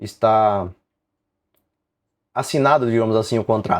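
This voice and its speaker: Against a quiet background, a man talks at a medium pitch and a fairly quick pace. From southern Brazil, Rio Grande do Sul. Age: 40s. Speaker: woodworking YouTuber. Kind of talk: live stream Q&A chat. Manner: casual, conversational.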